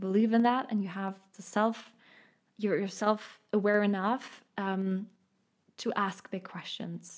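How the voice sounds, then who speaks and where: Slowish and flat, a woman with a German accent speaks at medium pitch in a monotone. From Munich, Germany. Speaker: podcast host and healer. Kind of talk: solo podcast monologue.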